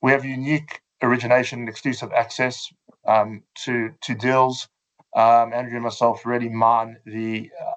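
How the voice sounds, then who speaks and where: A man with a South African accent, medium pitch, moderate pace and fairly even intonation. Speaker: fund manager. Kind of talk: webinar presentation. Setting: online webinar. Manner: hesitant, many fillers.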